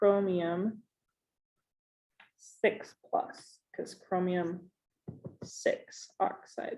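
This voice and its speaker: A somewhat breathy voice with a dark, mellow tone. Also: woman. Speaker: chemistry teacher. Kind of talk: recorded lesson.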